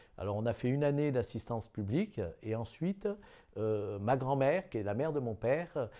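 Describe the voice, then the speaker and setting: Delivery comes at a moderate pace with lively intonation and a dark, mellow tone. The background is quiet. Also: man. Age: 60s. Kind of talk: testimony. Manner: halting, many hesitations.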